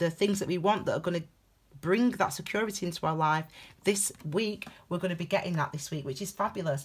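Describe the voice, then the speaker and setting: A woman puts on a character voice that is raspy and fairly low in pitch. She talks at a fairly quick pace. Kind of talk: tarot reading, chatty. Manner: fast-talking.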